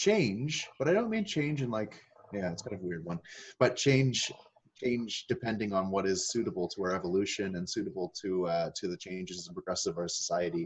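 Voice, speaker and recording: A man with a fairly low voice speaks at a moderate pace with ordinary pitch variation. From Nova Scotia, Canada (Annapolis Valley). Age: 30s. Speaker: transformation speaker. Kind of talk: interview. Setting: video call. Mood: calm, reflective. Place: home room. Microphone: webcam.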